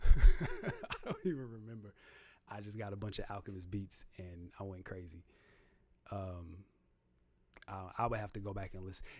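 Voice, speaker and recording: With long, frequent pauses and big swings in loudness, a man speaks at a moderate pace in a fairly low pitch with fairly even intonation. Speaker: rapper and livestream host. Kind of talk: casual livestream chat reading comments. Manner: laid-back delivery.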